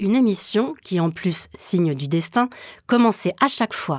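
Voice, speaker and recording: Pitched fairly low, a woman talks at a moderate rate in an ordinary speaking voice. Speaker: radio documentary maker. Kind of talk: scripted narration.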